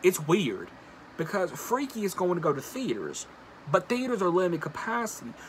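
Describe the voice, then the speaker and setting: At a moderate pace, a man speaks with lively intonation over light background noise. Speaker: video blogger and horror movie commentator. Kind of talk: angry rant about a film studio, YouTube commentary. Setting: solo video, recorded for a channel. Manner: indignant and exasperated, riled up, pointed criticism; conversational, addresses viewers directly. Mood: annoyed, ranting. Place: home room. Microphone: phone near.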